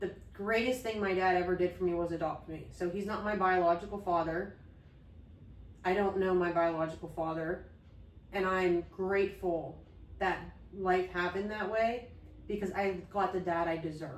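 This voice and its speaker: A woman speaks at a medium pitch and a moderate pace, with long, frequent pauses and fairly even intonation. Audible room echo and noticeable background noise surround her voice. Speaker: podcast co-host. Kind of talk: casual chat. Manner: frequent um fillers and pauses; thoughtful, mindful pace.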